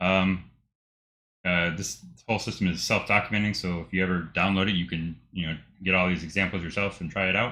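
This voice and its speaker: A man with a very deep, low pitch and a bright, sharp tone, fairly quick and monotone in a flat intonation, on a very clean recording with a silent background. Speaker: programmer streamer. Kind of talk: screen-share tutorial recap. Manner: fast; halting, many fillers.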